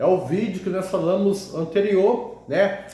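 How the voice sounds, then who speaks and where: At a fairly slow pace, a man talks in a high pitch, with audible room echo and noticeable background noise. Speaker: evangelical preacher. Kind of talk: sermon. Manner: halting, repeats words.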